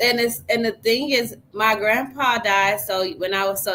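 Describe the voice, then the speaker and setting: This woman has a plain, everyday voice, pitched in the middle of her range, with an American accent. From US Midwest, St. Louis. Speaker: life coach, podcast host. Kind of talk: casual chat.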